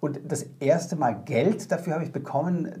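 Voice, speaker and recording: In a room with audible echo, a man speaks fairly slowly with a dark, mellow tone and vocal fry. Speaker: actor. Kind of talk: interview. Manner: halting.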